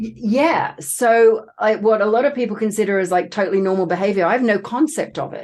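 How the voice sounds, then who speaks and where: With a slight Australian accent, a woman talks at a fairly quick pace, her voice fairly high with ordinary pitch variation. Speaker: trauma coach and author. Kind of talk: podcast interview.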